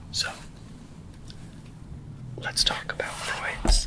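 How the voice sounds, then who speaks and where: Whispering at a very slow pace, a man speaks over noticeable background noise. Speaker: literature ASMR channel host. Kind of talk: ASMR literary lecture. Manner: whispered.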